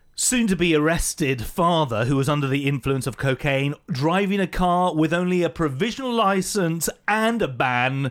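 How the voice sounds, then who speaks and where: A man speaks in an ordinary speaking voice at a fairly high pitch and moderate pace, with lively intonation, very even loudness and hardly any pauses, on a very clean recording with a silent background. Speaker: podcast host. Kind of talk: casual interview chat. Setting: studio.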